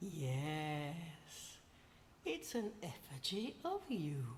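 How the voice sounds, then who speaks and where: A put-on character voice at a middle pitch goes at a very slow pace, with clear background noise. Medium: video game. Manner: cryptic, cackling.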